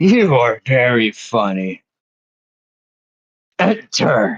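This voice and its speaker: A put-on character voice, raspy and rumbling, sits at a low-to-middle pitch. It moves at a very slow pace. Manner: dry, amused.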